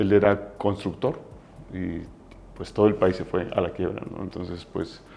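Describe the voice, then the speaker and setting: A dark, mellow voice moves at a fairly slow pace with fairly even intonation, big swings in loudness, and long, frequent pauses. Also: man, fairly low pitch for a man. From Mexico. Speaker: business founder. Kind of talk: interview. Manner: halting.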